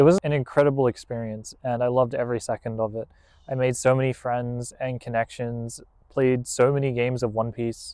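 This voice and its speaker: Speaking fairly quickly in an Australian accent, a man has a medium pitch and a dark, mellow tone with monotone, flat intonation. The sound is dry and close with no echo, over a quiet background. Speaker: card game content creator. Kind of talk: deck profile tutorial. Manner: casual, conversational.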